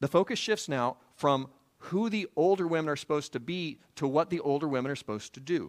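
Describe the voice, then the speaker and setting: A plain, everyday voice talks at a fairly quick pace with ordinary pitch variation. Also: man, fairly high pitch for a man. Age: 40s. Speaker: pastor. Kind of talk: sermon.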